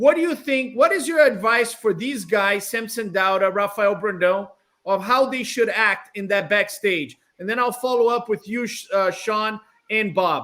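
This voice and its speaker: A raised, projected male voice with a Brazilian accent, high in pitch with ordinary variation and a bright, sharp tone. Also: moderate pace. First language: Portuguese. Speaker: bodybuilding show host. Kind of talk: panel interview.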